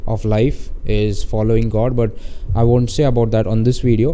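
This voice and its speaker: Speaking at a moderate pace in an Indian accent, a man comes through with audible room echo and noticeable background noise. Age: 20s. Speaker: marketing agency owner. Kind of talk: casual tutorial monologue. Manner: halting, many fillers.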